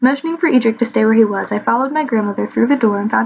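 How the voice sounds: Here we have a natural reading voice.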